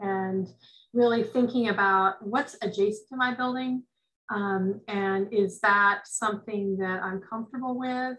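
A woman with an American accent talks at a moderate pace with ordinary pitch variation. The background is quiet. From US West Coast, rural Northern California. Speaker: forestry extension advisor. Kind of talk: lecture. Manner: halting. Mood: thoughtful, calm. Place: home room. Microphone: webcam.

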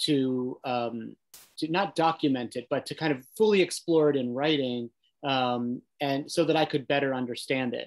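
A man talks with an American accent and ordinary pitch variation. The background is quiet. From US, Italian American family. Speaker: novelist and writing center director; panelist. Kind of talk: panel discussion. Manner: halting, repeats words. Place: home room.

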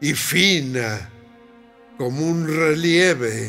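Faint music plays in the background. Over it, a man speaks with lively intonation. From northern Mexico, La Laguna region. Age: 80s+. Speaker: poetry reciter. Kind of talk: poetry reading. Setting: studio. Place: studio.

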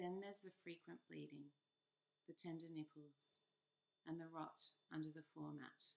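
Soft-spoken at a moderate pace, a woman talks with long, frequent pauses. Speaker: poet reader. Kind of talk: poem reading. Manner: gentle, soft, measured. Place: home room. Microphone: webcam.

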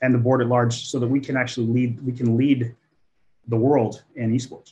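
With a dark, mellow tone at medium pitch, the man speaks with little pitch movement. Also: moderate pace.

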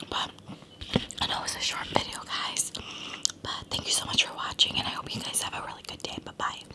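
A woman speaks at a fairly quick pace. Loud background noise is present. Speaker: eating vlogger. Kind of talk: casual vlog chat. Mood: cheerful, relaxed. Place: home room. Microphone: phone near.

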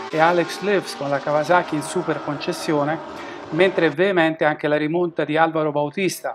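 A man with a fairly high pitch speaks at a fairly quick pace against noticeable background noise. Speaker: race commentator. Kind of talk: race highlights commentary, scripted narration. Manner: animated, fast-paced.

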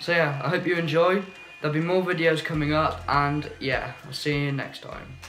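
A man at a moderate pace with fairly even intonation, faint music in the background. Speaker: work experience student vlogger. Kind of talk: casual vlog chat. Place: home room. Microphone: phone near.

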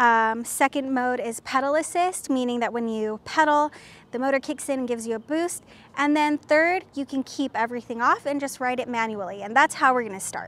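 At a fairly quick pace, a woman speaks with a high pitch and ordinary pitch variation. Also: dry sound with no echo. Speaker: presenter. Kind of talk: tutorial. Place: street. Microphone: lapel.

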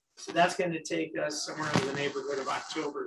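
A man with a fairly high pitch is heard over noticeable background noise. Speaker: university president. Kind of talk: campus update address with Q&A. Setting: stage with audience, streamed on Zoom. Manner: loud. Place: meeting room.

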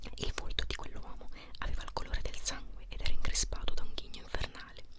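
A whispering voice moves at a fairly quick pace. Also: woman. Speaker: ASMR creator. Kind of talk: ASMR book reading, whispered to help sleep. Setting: close microphone, mouth sounds. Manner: whispered, soft-spoken. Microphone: studio mic.

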